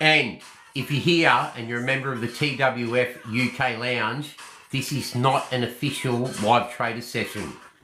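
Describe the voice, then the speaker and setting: Amid music in the background and audible room echo, a man speaks at a moderate pace with fairly even intonation. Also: medium pitch for a man. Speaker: horse racing tipster. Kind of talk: live stream form analysis. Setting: live stream late at night. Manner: casual, brash.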